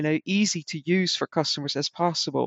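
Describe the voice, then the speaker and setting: With a Dutch accent, a woman speaks in a very deep, low pitch. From Netherlands. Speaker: customer experience consultant and author. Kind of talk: casual interview conversation.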